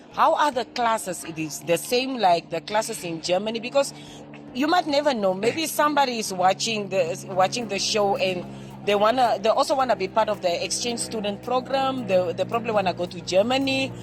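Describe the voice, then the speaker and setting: A woman speaks at a medium pitch with lively intonation and a fairly quick pace, with noticeable background noise behind her. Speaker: TV presenter. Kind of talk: interview. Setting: on location.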